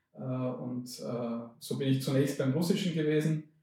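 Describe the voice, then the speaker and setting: A man's somewhat breathy, dark, mellow voice of medium pitch with fairly even intonation. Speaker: professor of linguistics. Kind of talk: interview.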